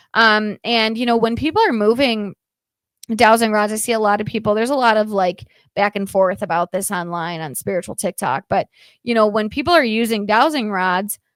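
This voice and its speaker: Fairly quick woman's voice, fairly high in pitch, with a dry, close sound and no echo. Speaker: paranormal podcast co-host. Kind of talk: casual podcast chat. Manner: fast.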